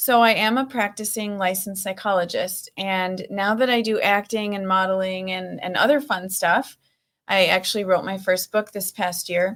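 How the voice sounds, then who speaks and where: With a Minnesota accent, a woman speaks in fairly even intonation. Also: medium pitch for a woman, moderate pace, very clean recording, silent background. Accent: northern US (Minnesota), noticeable. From Minnesota, US Upper Midwest. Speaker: actor, model and psychologist. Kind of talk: interview.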